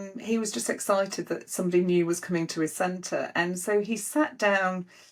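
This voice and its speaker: A woman with a Yorkshire accent talks at a fairly quick pace in a medium pitch, recorded very cleanly against a silent background. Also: ordinary pitch variation. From Yorkshire, northern England. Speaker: spirit medium. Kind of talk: casual chat. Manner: animated.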